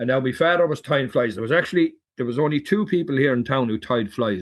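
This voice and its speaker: With an Irish accent, a man talks at a very fast pace. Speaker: fly fisherman and hunter. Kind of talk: casual interview storytelling.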